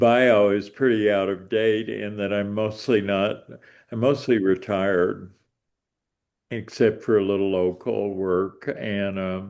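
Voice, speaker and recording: Pausing long and often, a man with a fairly low voice speaks at a very slow pace with fairly even intonation. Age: 70s. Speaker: retired community organizer and social worker. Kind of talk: interview. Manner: halting.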